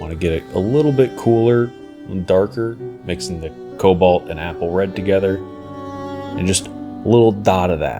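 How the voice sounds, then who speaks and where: Pitch shifts in an ordinary way across the speech. Background music can be heard. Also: man, very deep, low pitch for a man, moderate pace. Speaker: miniature painter. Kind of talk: tutorial voice-over narration.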